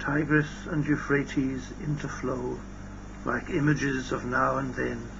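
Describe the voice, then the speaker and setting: Noticeable background noise runs behind this recording. A man speaks at a very slow pace. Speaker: poet. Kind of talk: poetry reading. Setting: old cassette tape recording.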